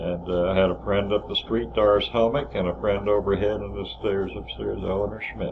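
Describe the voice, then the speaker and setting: A man speaks with a very deep, low pitch and very wide pitch swings. Noticeable background noise and audible room echo fill the recording. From northern New Jersey. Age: 70s. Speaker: family memoir narrator. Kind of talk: reminiscing over photos. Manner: halting.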